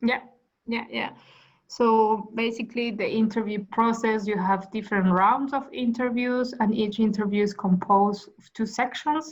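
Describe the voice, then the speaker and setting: A woman's fairly high, somewhat breathy voice at a moderate pace, with fairly even intonation and big swings in loudness. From Argentina. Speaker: management consultant. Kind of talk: interview. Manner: halting.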